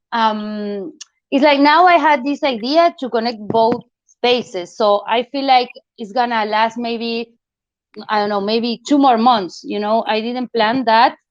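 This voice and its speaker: Fairly slow speech from a woman with a non-native accent, fairly high in pitch with ordinary pitch variation. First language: not English. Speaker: artist. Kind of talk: art critique discussion. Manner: halting.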